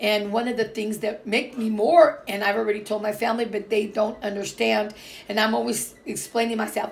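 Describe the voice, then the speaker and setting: A woman speaks at a moderate pace in a fairly high voice with hardly any pauses, over noticeable background noise. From Portuguese background. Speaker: vlogger. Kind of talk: casual vlog talk. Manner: hesitant, many fillers.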